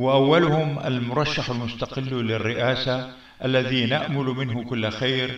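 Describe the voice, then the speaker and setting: Spoken at a very slow pace in a flat monotone with hardly any pauses, the voice carries audible room echo. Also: man, medium pitch for a man. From Syria. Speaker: community figure addressing citizens. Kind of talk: public address to community. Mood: earnest, appealing, heartfelt. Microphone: webcam.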